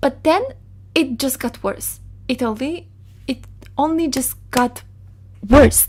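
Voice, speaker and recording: A woman with a Polish accent and ordinary pitch variation. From Poland. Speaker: digital artist, storyteller. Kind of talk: storytime monologue.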